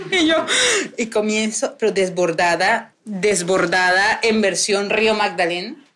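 A woman's voice at a medium pitch with a coastal Colombian accent, very slow, with very even loudness and ordinary pitch variation. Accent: Colombian coastal (costeño) Spanish. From Colombian Caribbean coast, Barranquilla. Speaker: podcast host. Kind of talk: live recorded conversation before an audience. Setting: bookstore with live audience.

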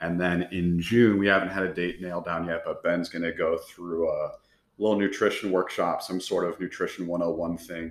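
Recorded very cleanly, with a silent background, a man is speaking. His pace is moderate. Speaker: podcast host and gym coach. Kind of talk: casual chat.

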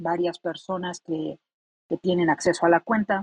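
Recorded dry and close with no echo, a woman's fairly low voice stays monotone and flat in intonation. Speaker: blockchain developer. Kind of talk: casual chat.

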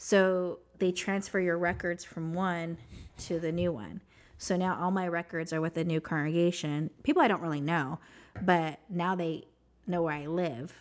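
A woman with an American accent has an ordinary speaking voice, fairly low in pitch, with fairly even intonation. The recording is very clean, with a silent background. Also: moderate pace. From US Southwest (New Mexico). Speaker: ex-Jehovah's Witness sharing her story. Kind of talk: testimony.

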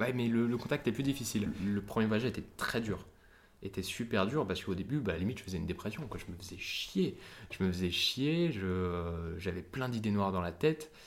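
In an unremarkable speaking voice, a man with a fairly low pitch talks at a fairly quick pace with lively intonation. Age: 20s. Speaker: young solo traveller. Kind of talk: interview testimony.

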